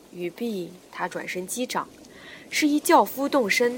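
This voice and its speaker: A woman at a fairly slow pace, fairly high in pitch, with very wide pitch swings. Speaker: audiobook narrator. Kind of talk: reading aloud. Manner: animated.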